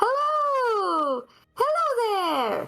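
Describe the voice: This is a put-on character voice, shrill and extremely high. Its pitch swings very widely.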